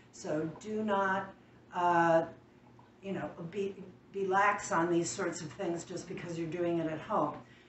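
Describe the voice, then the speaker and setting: Amid audible room echo and light background noise, a woman with a fairly low voice speaks slowly in a monotone with flat intonation. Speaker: canning demonstrator. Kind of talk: tutorial. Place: kitchen.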